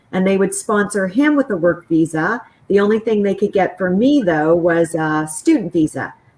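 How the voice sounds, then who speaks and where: At a moderate pace, a woman with a Canadian accent speaks in an unremarkable speaking voice of medium pitch. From Western Canada. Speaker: business school professor. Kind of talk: panel interview.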